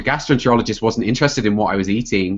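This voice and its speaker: The man's voice is fairly low in pitch, with fairly even intonation. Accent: British. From England. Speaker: health coach and computer scientist. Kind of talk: podcast interview.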